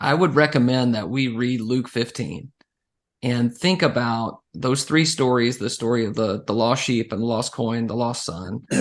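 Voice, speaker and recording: Against a quiet background, a man with a normal speaking voice talks at a moderate pace and medium pitch with ordinary pitch variation. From Central Texas. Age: 40s. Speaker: evangelist. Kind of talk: interview.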